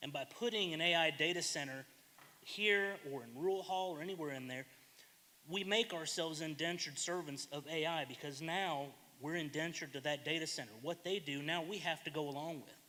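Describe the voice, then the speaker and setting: A man with an American accent talks loudly and fairly quickly, his fairly high voice bright and sharp in tone. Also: ordinary pitch variation. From US South. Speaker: public commenter. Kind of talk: public comment at government meeting.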